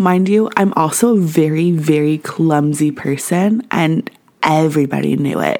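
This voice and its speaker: With a Canadian accent and a very deep, low voice, a woman speaks at a fairly slow pace with ordinary pitch variation over noticeable background noise. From Canada. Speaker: podcast host. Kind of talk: solo podcast monologue.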